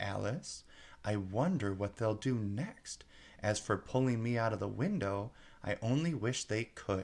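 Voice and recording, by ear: In a natural voice, the words are read aloud.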